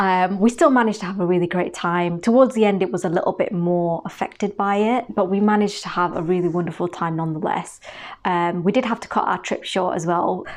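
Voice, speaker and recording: Speaking at a very fast pace, a woman has a Manchester accent and a medium pitch. The background is quiet. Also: ordinary pitch variation. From northern England, Manchester. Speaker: beauty vlogger. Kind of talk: casual chat.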